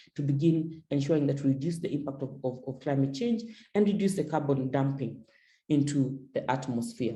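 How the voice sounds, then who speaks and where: A woman talks at a very fast pace in a very deep, low, somewhat breathy voice. Her tone is dark and mellow, with ordinary pitch variation. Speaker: feminist climate advocate, panelist. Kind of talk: panel discussion, webinar talk. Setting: video call webinar with interpretation. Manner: repetitive, with frequent stammered repeats.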